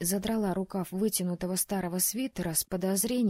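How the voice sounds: Fairly even intonation in a natural reading voice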